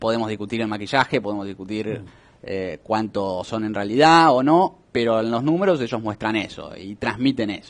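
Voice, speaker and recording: Fairly low in pitch, a man talks at a moderate pace with ordinary pitch variation. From Argentina. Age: young. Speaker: economist; guest. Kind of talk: interview. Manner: hesitant with fillers. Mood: relaxed, explanatory. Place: studio. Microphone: headset.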